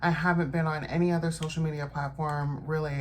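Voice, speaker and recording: In a room with audible echo, a woman talks in a very deep, low pitch with monotone, flat intonation. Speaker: lifestyle vlogger. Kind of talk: casual vlog talk while doing makeup.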